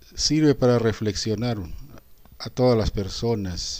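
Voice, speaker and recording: A man speaking at a fairly slow pace on a very clean recording with a silent background. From Peru, Arequipa. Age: 60s. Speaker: teacher. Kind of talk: reflective monologue. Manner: halting with fillers.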